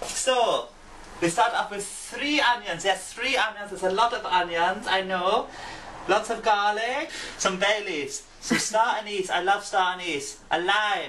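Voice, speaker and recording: Over noticeable background noise, a man with a slight German accent projects a raised, high-pitched voice. He speaks at a fairly slow pace with ordinary pitch variation. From England. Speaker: cooking video host. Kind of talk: cooking tutorial.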